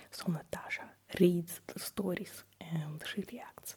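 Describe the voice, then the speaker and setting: The voice is a whisper. There is noticeable background noise. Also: woman. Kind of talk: casual talk to camera. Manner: soft-spoken.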